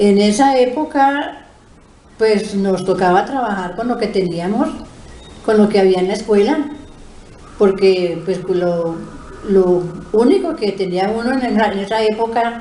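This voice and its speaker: Speaking at a fairly slow pace with long, frequent pauses, a woman of medium pitch is heard amid noticeable background noise and audible room echo. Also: ordinary pitch variation. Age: 70s. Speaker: retired schoolteacher and principal. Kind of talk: interview. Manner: hesitant, many filler sounds.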